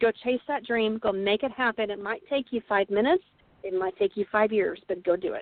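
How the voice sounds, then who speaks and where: A woman with an American accent speaks at a fairly quick pace and a fairly high pitch, with ordinary variation. Music plays in the background. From Texas (Burleson). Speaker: author. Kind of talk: interview.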